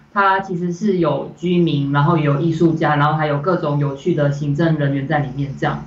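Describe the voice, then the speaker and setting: A woman's very deep, low pitch in a monotone, flat intonation at a moderate pace, with audible room echo. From Malaysia. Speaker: animation director. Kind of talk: interview. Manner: hesitant, many fillers.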